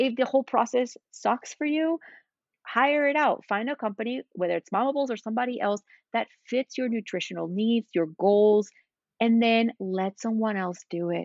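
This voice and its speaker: Talking at a moderate pace, a woman with a Spanish accent has a fairly high pitch. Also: ordinary pitch variation. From Spain. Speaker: cookbook author and meal-planning entrepreneur. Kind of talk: casual interview.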